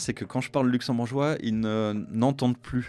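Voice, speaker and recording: Over music in the background, a man at medium pitch speaks at a fairly slow pace with ordinary pitch variation. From Luxembourg. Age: 50s. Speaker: business executive, entrepreneur. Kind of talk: interview conversation. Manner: hesitant, many fillers.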